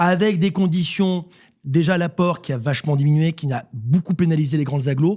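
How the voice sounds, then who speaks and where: Very clean audio, a silent background, and a man with a dark, mellow tone. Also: fairly high pitch for a man, ordinary pitch variation. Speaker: CEO of a real estate agency network. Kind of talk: radio interview. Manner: fast.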